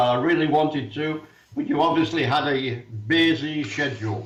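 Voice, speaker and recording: A man with a fairly high pitch speaks in audible room echo over noticeable background noise. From England. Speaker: author and activist. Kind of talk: casual chat.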